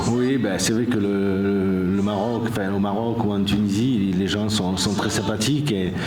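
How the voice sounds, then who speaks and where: A man with a fairly low pitch speaks at a fairly slow pace with hardly any pauses, fairly even intonation and very even loudness, amid noticeable background noise and audible room echo. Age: 60s. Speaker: off-road raid organizer. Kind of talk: interview at an event. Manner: halting.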